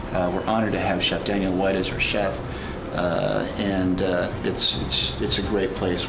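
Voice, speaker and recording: A man's voice at a moderate pace, with noticeable background noise. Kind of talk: interview answer. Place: bar.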